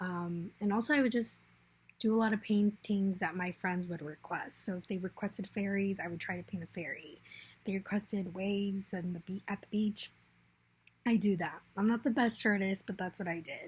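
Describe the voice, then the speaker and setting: With an American accent, a woman speaks at a moderate pace in a somewhat breathy voice and fairly even intonation. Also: medium pitch for a woman. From Arizona, Phoenix. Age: 20s. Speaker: returned volunteer / scholarship applicant. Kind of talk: personal video essay. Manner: hesitant, with fillers.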